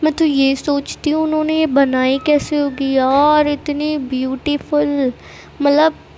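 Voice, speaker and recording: Very slow and monotone with flat intonation, a woman speaks at a high pitch over noticeable background noise. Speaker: vlogger. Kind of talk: travel vlog voiceover. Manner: casual, chatty.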